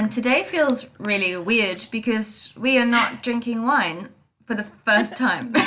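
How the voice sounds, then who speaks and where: An unremarkable speaking voice comes from a woman at a fairly high pitch. She talks at a fairly slow pace with ordinary pitch variation. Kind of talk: casual podcast conversation.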